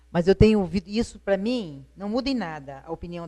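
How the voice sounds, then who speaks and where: A woman talks in a dark, mellow voice of medium pitch with ordinary pitch variation. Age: 60s. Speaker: retired teacher, widow. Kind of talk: TV interview. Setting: TV studio, live broadcast.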